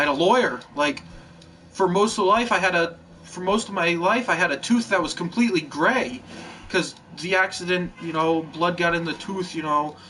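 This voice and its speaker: Noticeable background noise sits under a man speaking at a high pitch with ordinary pitch variation. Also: moderate pace. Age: 20s. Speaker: gaming YouTuber. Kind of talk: casual monologue. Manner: rambling, halting.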